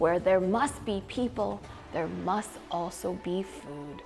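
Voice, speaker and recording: Using a put-on character voice at medium pitch, a woman speaks at a fairly slow pace against clear background noise. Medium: read story.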